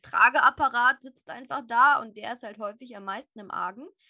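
A woman talks at a high pitch and moderate pace in a bright, sharp tone with ordinary pitch variation, in a dry, close sound with no echo. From Upper Bavaria, Germany. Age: 20s. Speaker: animal therapist and platform founder. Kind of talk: casual interview.

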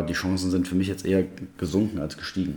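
In a very deep, low voice, a man rattles along at a very fast pace with monotone, flat intonation. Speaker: basketball fan expert. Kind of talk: casual chat. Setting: temporary studio.

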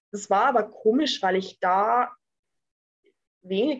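Fairly slow speech from a woman. Hers is an ordinary speaking voice. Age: 20s. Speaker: entrepreneur. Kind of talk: interview.

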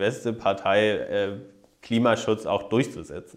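Here a man talks at a very slow pace. His pitch is fairly low. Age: 30s. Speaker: politician. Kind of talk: interview.

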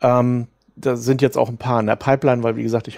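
A man speaks at a fairly quick pace. His pitch sits in the middle range. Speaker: author and podcaster. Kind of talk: interview. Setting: remote call. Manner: hesitant.

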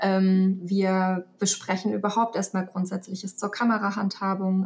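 A somewhat breathy woman's voice at a medium pitch. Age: 30s. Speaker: photography student and headhunter. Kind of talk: casual interview. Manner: hesitant, many fillers.

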